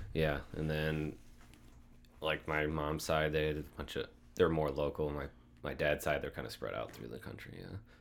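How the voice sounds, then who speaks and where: At a moderate pace broken by long, frequent pauses, a man with a very deep, low pitch and vocal fry speaks in a monotone, flat intonation. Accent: Upper Midwest. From US Midwest, north central Iowa. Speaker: pilot and flight instructor. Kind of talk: casual interview.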